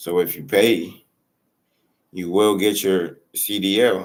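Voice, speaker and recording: With fairly even intonation, a man speaks in a very deep, low pitch on a very clean recording with a silent background. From Africa. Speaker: YouTube reaction commentator. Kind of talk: casual reaction commentary.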